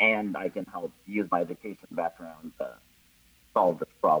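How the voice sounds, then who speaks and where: The sound is dry and close, without any echo. A man speaks at a moderate pace. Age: 30s. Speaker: science teacher. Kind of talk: casual chat.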